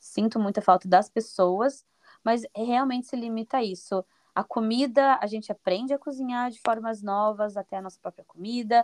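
A woman's fairly high voice at a moderate pace, with fairly even intonation and big swings in loudness, an unremarkable speaking voice, dry and close with no echo against a quiet background. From Brazil, Paraná (Curitiba area). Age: 20s. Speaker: Brazilian immigrant in Portugal. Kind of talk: podcast interview.

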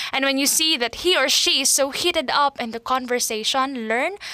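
Raised and projected, a woman's voice carries a high pitch and lively intonation. She keeps a moderate pace. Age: 20s. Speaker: podcast host, teacher. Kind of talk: casual monologue podcast. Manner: chatty, talkative.

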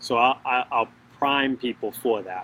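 A man talks in a bright, sharp tone with an American accent. His intonation is fairly even. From US Northeast, Boston. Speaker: podcast co-host. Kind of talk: casual chat. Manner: fast.

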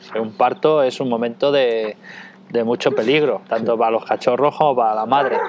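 Fairly quick, fairly even speech from a man at a medium pitch. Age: 40s. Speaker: dog trainer and breeder. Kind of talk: interview. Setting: at his home.

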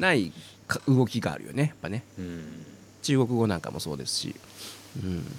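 A man talks at a moderate pace with a very deep, low pitch and very wide pitch swings. He leaves long, frequent pauses. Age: 50s. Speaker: podcast host and voice trainer. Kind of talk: casual chat.

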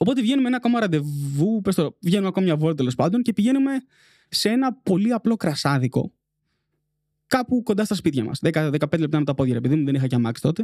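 A man's high, dark, mellow voice races at a very fast pace with very wide pitch swings and very even loudness, recorded dry and close with no echo. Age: 20s. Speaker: podcast producer. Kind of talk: casual chat.

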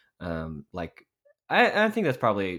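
A man talks in a very deep, low voice with an American accent. The recording is very clean and the background silent. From Texas, Dallas suburbs. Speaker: church worship director and podcaster. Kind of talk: podcast interview. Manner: many fillers (um, uh).

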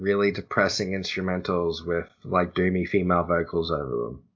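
In an Australian accent, a man with a very deep, low pitch talks at a moderate pace. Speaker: podcast host. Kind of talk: casual chat. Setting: call.

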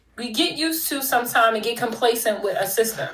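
Amid noticeable background noise and audible room echo, a woman speaks at a moderate pace with a fairly high pitch. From Philadelphia, US. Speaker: business consultant and author. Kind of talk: casual interview. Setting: remote call.

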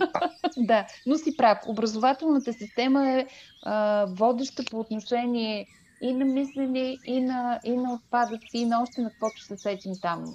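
A woman's high voice with a dark, mellow tone moves at a moderate pace, showing ordinary pitch variation and big swings in loudness. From Bulgaria, Stara Zagora. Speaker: podcast host. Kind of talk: casual interview.

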